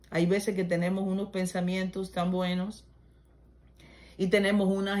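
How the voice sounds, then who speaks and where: A woman's fairly slow, monotone delivery with flat intonation. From Cuba, Ciego de Ávila. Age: 70s. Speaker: storyteller telling her life story. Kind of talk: bible reflection and life testimony.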